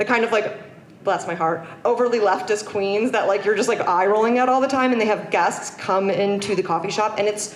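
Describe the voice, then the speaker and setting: Noticeable background noise and audible room echo fill the recording. The speech moves at a fairly quick pace, with fairly even intonation and very even loudness. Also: woman, medium pitch for a woman. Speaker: screenwriter and content creator. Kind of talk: conference talk. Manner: fast; casual, filler-heavy.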